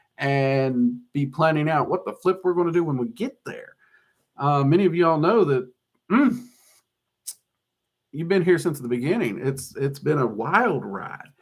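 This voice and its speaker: In a Southern US accent, a man speaks at a moderate pace with a fairly high pitch. His intonation is lively, and his pauses are long and frequent. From US South. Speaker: occult YouTuber and teacher. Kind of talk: live-stream Q&A chat. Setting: live stream on camera. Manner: casual, hesitant with fillers.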